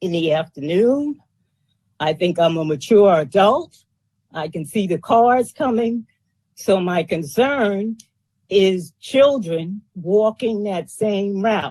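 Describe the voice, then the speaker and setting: The voice has a New York accent and a dark, mellow tone. It moves at a very slow pace with lively intonation. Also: woman, medium pitch for a woman. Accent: New York accent, still noticeable. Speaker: resident giving testimony. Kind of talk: public testimony.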